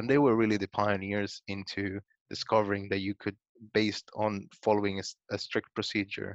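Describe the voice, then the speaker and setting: A man with a Spanish accent speaks in a fairly low pitch at a moderate pace. His intonation stays monotone and flat. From Guatemala. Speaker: data science manager. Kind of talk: interview.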